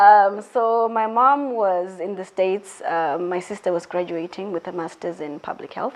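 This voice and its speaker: With a Zimbabwean accent, a woman talks at a moderate pace with hardly any pauses, her medium pitch showing ordinary variation. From Zimbabwe, Mutare. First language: Shona. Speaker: interviewee sharing personal story. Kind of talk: interview. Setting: filmed indoors at a school.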